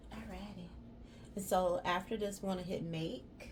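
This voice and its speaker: A woman in a Southern US accent at a fairly slow pace, with noticeable background noise and audible room echo. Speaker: crafter and small business owner. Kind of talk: crafting tutorial vlog. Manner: casual, chatty.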